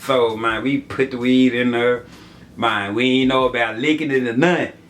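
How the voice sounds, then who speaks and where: A man with an American accent against noticeable background noise. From US South, Memphis, Tennessee. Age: 30s. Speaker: YouTuber. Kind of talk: story time vlog. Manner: casual, filler-heavy.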